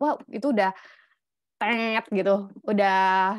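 The sound is dry, with no echo, and the background is quiet. A woman talks at a medium pitch. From Indonesia. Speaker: scholarship mentor. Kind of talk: online lecture. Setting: video call. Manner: animated. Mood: casual, encouraging. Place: home room. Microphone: video call.

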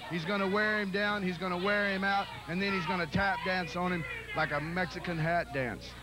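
A man projects a raised, high voice at a fairly quick pace, with very even loudness and fairly even intonation. Noticeable background noise is present. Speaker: wrestling color commentator. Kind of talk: live wrestling color commentary. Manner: partisan, cheering on a favored wrestler.

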